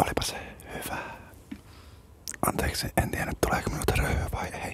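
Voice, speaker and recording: A man whispers at a moderate pace. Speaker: radio host. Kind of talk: ASMR interview. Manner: whispered. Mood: playful, amused. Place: studio. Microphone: studio mic.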